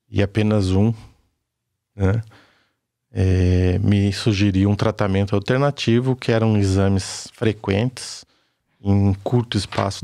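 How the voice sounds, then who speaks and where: On a very clean recording with a silent background, a man speaks very slowly. His fairly low pitch, dark, mellow tone and intonation are monotone and flat. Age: 50s. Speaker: construction worker. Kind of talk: testimony.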